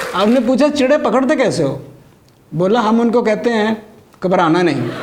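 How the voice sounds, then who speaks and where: A man's high-pitched voice with lively intonation and very even loudness, over noticeable background noise. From Gujranwala, Pakistan. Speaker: stand-up comedian; doctor. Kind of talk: stand-up comedy routine.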